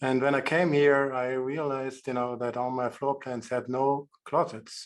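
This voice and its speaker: In a German accent, a man speaks at a fairly slow pace and a medium pitch. His intonation is monotone and flat. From Germany. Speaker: architect, audience member asking question. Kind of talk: webinar Q&A.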